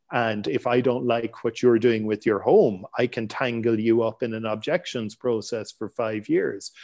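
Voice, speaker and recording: A man speaks at a moderate pace with hardly any pauses. His intonation is fairly even. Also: medium pitch for a man. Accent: Irish. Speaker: real estate investment newsletter founder. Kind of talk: interview conversation. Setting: remote call. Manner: frequent stammering and word repetitions.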